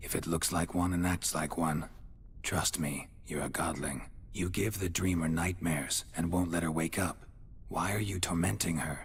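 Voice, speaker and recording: With clear background noise, a man does a put-on character voice. It is very deep and low in pitch, at a moderate pace. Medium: video game. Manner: dry, deadpan.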